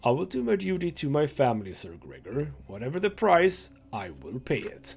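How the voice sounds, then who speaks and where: Put-on character voice from a man, fairly high-pitched and strained, at a moderate pace. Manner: strained, dutiful.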